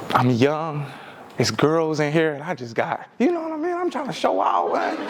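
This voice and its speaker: The speaker is a man. Noticeable background noise and audible room echo surround him. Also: moderate pace. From Detroit, Michigan. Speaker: motivational speaker. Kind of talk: keynote speech. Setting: stage with audience. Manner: animated.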